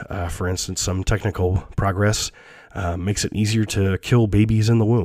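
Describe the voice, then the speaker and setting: A somewhat breathy man at a fairly low pitch, moderate pace and ordinary pitch variation. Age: 30s. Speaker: economics professor and podcast host. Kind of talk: lecture. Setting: online lecture recording. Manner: halting, many fillers and repetitions.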